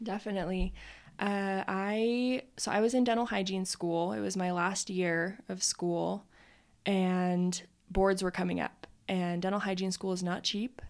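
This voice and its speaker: With an American accent and a normal speaking voice, a woman talks at a fairly slow pace in a medium pitch with fairly even intonation, in a very clean recording with a silent background. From Utah. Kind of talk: casual interview.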